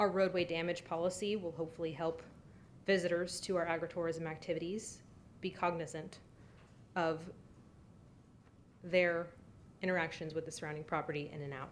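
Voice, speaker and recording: A woman speaks at a fairly quick pace with a fairly low pitch. Her intonation is flat and monotone, broken by long, frequent pauses. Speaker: applicant presenting at zoning hearing. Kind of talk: formal presentation at public hearing. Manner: fast.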